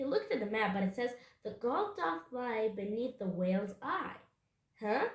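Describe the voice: Behind the speaker, the background stays quiet. The text is plain reading aloud, with ordinary pitch variation.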